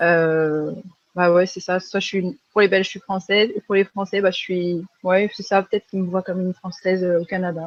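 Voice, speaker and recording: At a moderate pace, a woman speaks in a medium pitch with monotone, flat intonation and big swings in loudness. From France. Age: 20s. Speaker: freelance graphic designer. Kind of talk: podcast interview. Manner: hesitant, many fillers.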